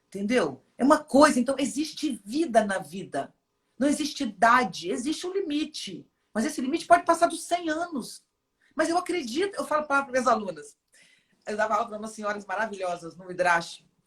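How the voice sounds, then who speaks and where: The pace is fairly quick. Pitch swings very wide throughout. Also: woman, high pitch for a woman, big swings in loudness. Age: 50s. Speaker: philosopher and poet. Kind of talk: interview conversation.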